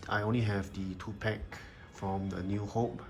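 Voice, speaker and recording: A man with a fairly low voice talks, and the room's echo is audible. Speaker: toy collector and reviewer. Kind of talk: product review video. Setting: indoors under natural daylight. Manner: fast.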